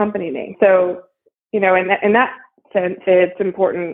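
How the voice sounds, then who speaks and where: A woman uses a normal speaking voice with an American accent. Her pitch is medium and her pace moderate. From US Midwest, Ohio. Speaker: marketing agency founder. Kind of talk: interview.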